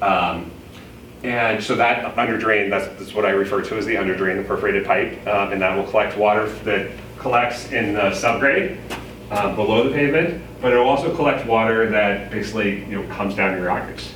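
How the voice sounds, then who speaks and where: There is noticeable background noise and audible room echo around this man. He talks at a fairly quick pace with ordinary pitch variation. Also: fairly low pitch for a man. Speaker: village engineer presenting to residents. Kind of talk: public meeting presentation. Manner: fast.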